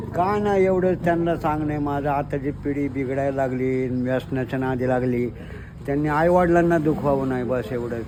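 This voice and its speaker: A man's fairly high voice shows ordinary pitch variation, with noticeable background noise behind it. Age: 60s. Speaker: pilgrim cyclist. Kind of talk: interview answer.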